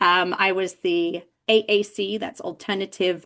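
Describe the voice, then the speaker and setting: A woman speaks with an English accent. Her pitch is medium, with ordinary pitch variation. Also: quiet background. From England. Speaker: deafblind education specialist presenter. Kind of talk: lecture. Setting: video call.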